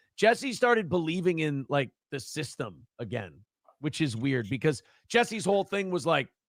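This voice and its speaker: A man's fairly high, animated voice with very wide pitch swings at a moderate pace, in a very clean recording with a silent background. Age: 30s. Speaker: live streamer reacting to clips. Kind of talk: casual live stream commentary.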